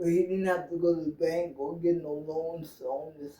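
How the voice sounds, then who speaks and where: In a New York accent, a woman speaks with a fairly low pitch. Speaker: interviewee. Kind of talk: interview.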